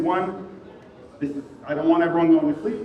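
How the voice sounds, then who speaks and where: A man's pitch swings very widely amid noticeable background noise and audible room echo. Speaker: security engineer, conference speaker. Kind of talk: conference talk. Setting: stage with audience. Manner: projecting. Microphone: quiet mic.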